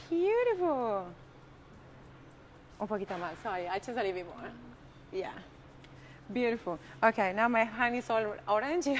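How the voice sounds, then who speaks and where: A woman's fairly high voice in a strong Argentine accent, animated and with lively intonation, at a moderate pace with long, frequent pauses. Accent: strong Argentinian Spanish. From Argentina. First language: Spanish. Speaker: cooking teacher. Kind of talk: live cooking demonstration. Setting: live-streamed kitchen.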